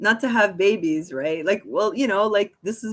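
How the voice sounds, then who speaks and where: A woman with a Montreal accent at a fairly quick pace. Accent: Montreal anglophone Canadian. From Quebec, Montreal. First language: German. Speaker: live streamer. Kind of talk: casual live-stream talk. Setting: live stream. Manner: casual, filler-heavy.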